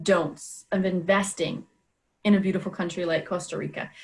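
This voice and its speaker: The voice is somewhat breathy. A woman talks at a moderate pace. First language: French. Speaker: interviewer. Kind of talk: interview.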